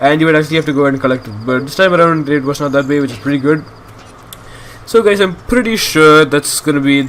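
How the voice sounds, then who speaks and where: A man's fairly high voice at a very fast pace, with ordinary pitch variation over noticeable background noise. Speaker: gaming youtuber. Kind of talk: let's play commentary. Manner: halting.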